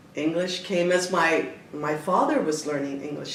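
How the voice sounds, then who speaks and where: Noticeable background noise and audible room echo surround a woman whose voice is fairly low in pitch. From Toronto, Canada, Italian immigrant family. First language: Italian. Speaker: dancer and choreographer. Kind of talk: interview. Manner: animated, gesturing with hands; halting with fillers.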